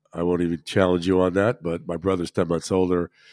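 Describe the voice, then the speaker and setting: In a very clean recording with a silent background and a dry, close sound with no echo, a man speaks with a very deep, low pitch and fairly even intonation. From New Jersey, Monmouth County. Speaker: financial advisor. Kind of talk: interview.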